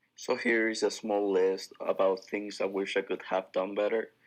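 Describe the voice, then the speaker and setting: A man talks with a Spanish accent against a quiet background. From Ecuador. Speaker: university student athlete. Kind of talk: class presentation.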